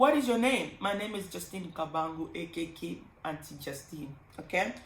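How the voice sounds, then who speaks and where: Lively intonation and big swings in loudness in a Congolese accent, at a moderate pace amid noticeable background noise. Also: woman, fairly low pitch for a woman. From Congo, Kinshasa. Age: 30s. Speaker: pharmacist vlogger. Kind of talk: casual vlog storytime. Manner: animated.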